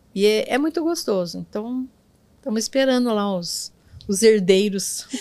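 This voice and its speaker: At a fairly slow pace, a woman with a fairly high pitch and a dark, mellow tone speaks with lively intonation. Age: 70s. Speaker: NGO director and former teacher. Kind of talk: interview. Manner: halting.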